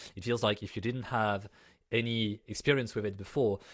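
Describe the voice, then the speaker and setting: A man speaks with a French accent at a moderate pace, his intonation fairly even. The recording is very clean, with a silent background. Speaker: conference host. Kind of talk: event hosting. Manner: casual.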